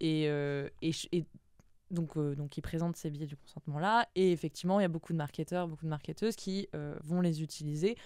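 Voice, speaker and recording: A woman's very deep, low voice, dark and mellow in tone, with fairly even intonation at a moderate pace, dry with no echo against a quiet background. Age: 20s. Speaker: copywriter; podcast guest. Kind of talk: interview. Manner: halting. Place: studio. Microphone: studio mic.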